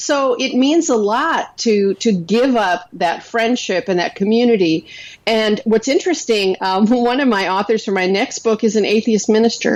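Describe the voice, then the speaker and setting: With an American accent, a woman speaks at a moderate pace with hardly any pauses, using a normal speaking voice at a fairly high pitch with ordinary pitch variation. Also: very even loudness. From North Dakota, US. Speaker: author and blogger. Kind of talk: interview.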